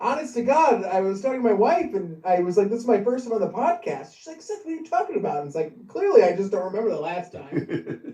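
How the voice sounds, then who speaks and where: A man talks at a very fast pace in an extremely high pitch, with very wide pitch swings and big jumps in loudness. He hardly pauses, and there is noticeable background noise. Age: 30s. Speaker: podcast guest, host's son. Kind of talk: casual chat.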